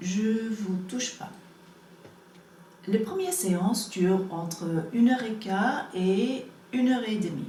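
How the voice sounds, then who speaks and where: A woman with an English accent speaks very slowly at a medium pitch, with ordinary pitch variation. Noticeable background noise and audible room echo surround her. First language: English (speaking French). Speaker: energy healing practitioner. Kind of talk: promotional explanation to camera. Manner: halting, many hesitations.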